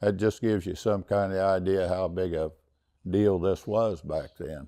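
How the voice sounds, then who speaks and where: A dark, mellow tone comes at a fairly slow pace with fairly even intonation on a very clean recording with a silent background. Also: man. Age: 70s. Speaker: long-time saddle club member, trail rider. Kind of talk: interview reminiscence. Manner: halting, with fillers.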